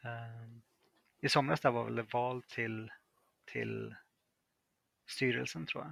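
A man's loudness swings widely as he talks very slowly, with long pauses coming frequently. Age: 30s. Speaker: freelance software developer. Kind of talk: interview.

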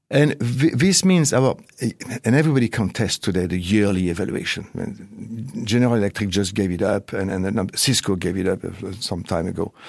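A man's fairly low voice with a French accent, at a moderate pace with ordinary pitch variation. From France. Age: 50s. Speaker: management consultant and researcher. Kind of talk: interview. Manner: hesitant, repeating words.

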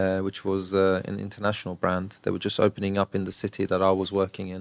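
Speaking with a southern English accent, a man talks at a fairly quick pace and a fairly low pitch. The sound is dry and close with no echo, on a very clean recording with a silent background. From southern England, Brighton. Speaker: real estate broker. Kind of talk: interview.

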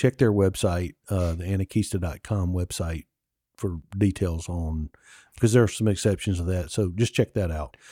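In a Mississippi accent, a man talks at a moderate pace with a very deep, low pitch, ordinary pitch variation and a dark, mellow tone, on a very clean recording with a silent background and a dry, close sound with no echo. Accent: Southern US (Mississippi). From Mississippi, US South. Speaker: podcast co-host, local travel guide. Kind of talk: casual chat.

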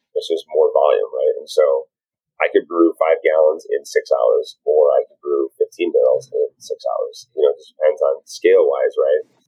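Over music in the background, a man speaks at an extremely high pitch and a moderate pace, his loudness swinging widely. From southern Wisconsin. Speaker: brewery owner and brewer. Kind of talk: casual interview.

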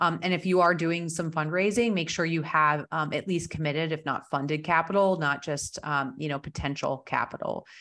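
A woman speaks with hardly any pauses at a moderate pace in an ordinary speaking voice, fairly low-pitched with fairly even intonation, on a very clean recording with a silent background. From New Jersey. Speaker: business broker and author. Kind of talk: interview. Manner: many filler words.

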